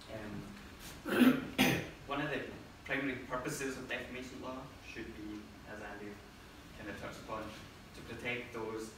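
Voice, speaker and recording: The intonation stays fairly even. Noticeable background noise and audible room echo fill the recording. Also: man. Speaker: presenter. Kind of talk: talk presentation. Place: meeting room. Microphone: camera far.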